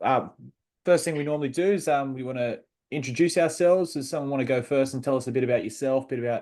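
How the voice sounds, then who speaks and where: A man talks with an Australian accent in a dark, mellow tone. The background is quiet. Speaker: podcast host. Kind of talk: casual video interview.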